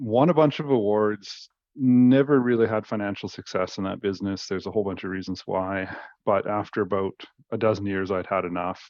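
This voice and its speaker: With a Canadian accent, a man speaks at a fairly quick pace. His pitch is fairly low, with ordinary pitch variation. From Northern British Columbia and Victoria, Canada. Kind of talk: casual interview. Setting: video call. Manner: animated, laughing often.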